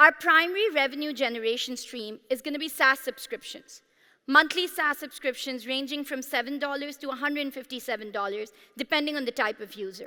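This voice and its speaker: A woman projects a raised, high-pitched voice with a bright, sharp tone at a fairly quick pace. Her loudness swings widely while her pitch variation stays ordinary. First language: Pashto. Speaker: startup founder. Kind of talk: sales pitch. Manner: animated.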